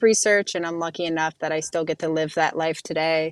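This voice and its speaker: Here is an unremarkable speaking voice from a woman with an American accent, fairly low in pitch with ordinary pitch variation. The very clean recording has a silent background and a dry, close sound with no echo. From Ohio, Youngstown. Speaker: neuroscientist and soldier. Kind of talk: interview.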